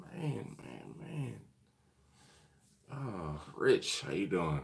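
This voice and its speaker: A man's voice shows vocal fry and very wide pitch swings, with audible room echo around it. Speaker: BBQ channel host. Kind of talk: live stream chat. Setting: hotel hallway. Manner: quiet, keeping voice down.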